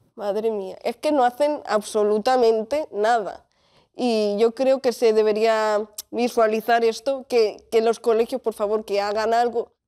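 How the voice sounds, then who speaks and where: Against a quiet background, a woman speaks at a fairly slow pace. Her pitch is fairly high, with fairly even intonation. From Spain, Catalonia (Tarragona, El Vendrell); Catalonia. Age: 20s. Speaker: bullying survivor; interview guest. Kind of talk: testimony. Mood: serious, emotional, reflective. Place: studio. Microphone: lapel.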